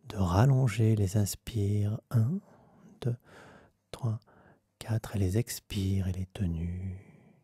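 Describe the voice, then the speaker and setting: A soft-spoken man talks at a very slow pace in a fairly low, somewhat breathy voice with a dark, mellow tone and ordinary pitch variation. The sound is dry and close with no echo, on a very clean recording with a silent background. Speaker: meditation guide; vocal coach. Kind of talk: guided meditation.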